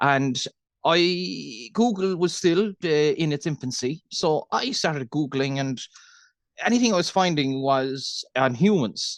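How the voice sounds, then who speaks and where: A man in a Cork accent speaks at a fairly high pitch, his voice dry and close with no echo against a quiet background. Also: lively intonation. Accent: Irish, Cork. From Ireland, Cork. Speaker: dairy farmer. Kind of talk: interview. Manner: fast.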